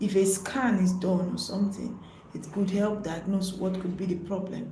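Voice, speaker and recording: The speaker goes at a moderate pace with monotone, flat intonation. Noticeable background noise and audible room echo are present. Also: woman. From Nigeria. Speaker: nurse, health educator. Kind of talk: live-stream health talk. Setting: live stream.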